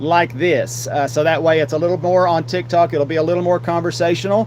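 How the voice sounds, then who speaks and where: A man with an Appalachian accent talks at a very fast pace with ordinary pitch variation over noticeable background noise. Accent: Southern US, Appalachian. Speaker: podcast host and streamer. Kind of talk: live solo podcast talk. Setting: live stream with green screen. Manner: loud; halting, many fillers.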